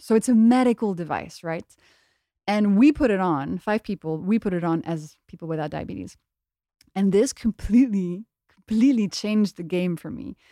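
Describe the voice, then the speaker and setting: A woman with medium pitch and a dark, mellow tone speaks at a moderate pace with lively intonation. The recording is very clean and dry, with a close sound, no echo, and a silent background. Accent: French. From France. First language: French. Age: 30s. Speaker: biochemist and author. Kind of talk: casual interview. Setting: studio.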